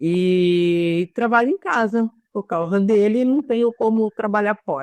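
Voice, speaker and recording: Using an ordinary speaking voice, a woman talks at a fairly high pitch with ordinary pitch variation, in a dry, close sound with no echo. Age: 60s. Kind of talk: online live panel discussion.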